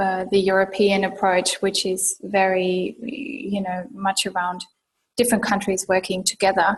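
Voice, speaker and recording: With a slight German accent, a woman talks at a fairly slow pace in a medium-pitched, somewhat breathy voice with fairly even intonation. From Germany. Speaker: urban sustainability professional. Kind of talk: interview.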